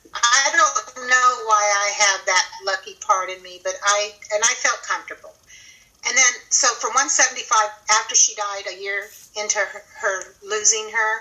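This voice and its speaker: With a normal speaking voice, a woman of fairly high pitch talks at a moderate pace, her intonation fairly even but her loudness swinging widely. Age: 60s. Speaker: guest sharing carnivore diet experience. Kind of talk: testimony.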